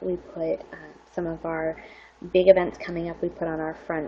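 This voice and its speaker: A woman with an ordinary speaking voice talks at a moderate pace in a fairly low pitch. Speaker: public services librarian and webinar presenter. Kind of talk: webinar presentation. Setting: online webinar.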